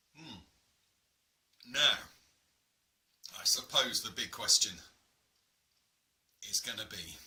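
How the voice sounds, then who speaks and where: A man with an English accent, a fairly slow pace, long, frequent pauses and big swings in loudness. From England. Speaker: gaming YouTuber. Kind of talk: casual taste-test vlog. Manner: hesitant, many fillers.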